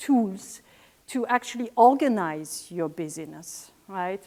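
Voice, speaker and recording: Speaking in a French accent, a woman moves at a very slow pace with lively intonation. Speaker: scientist in vaccines, public speaker. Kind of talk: conference talk. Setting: stage with audience.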